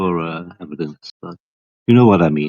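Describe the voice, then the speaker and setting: With a Flemish accent, a man speaks at a moderate pace and with lively intonation. The sound is dry and close, with no echo. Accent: Belgian (Flemish) accent in English. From Belgium. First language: not English. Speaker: flat-earth livestream panelist. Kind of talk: heated debate.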